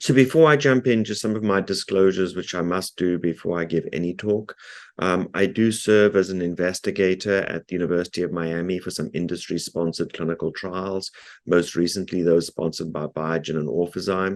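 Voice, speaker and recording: A man with a South African accent and a very deep, low pitch, talking at a fairly quick pace with ordinary pitch variation against a quiet background. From South Africa, Cape Town. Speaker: neurologist and researcher. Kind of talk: lecture. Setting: video call. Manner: frequent filler ums.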